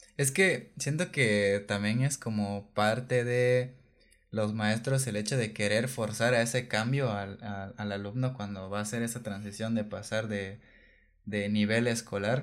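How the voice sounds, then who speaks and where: Recorded very cleanly against a silent background, a man with a medium pitch speaks with fairly even intonation. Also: fairly slow pace. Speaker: podcast co-host. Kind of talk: casual chat. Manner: halting, repeats words.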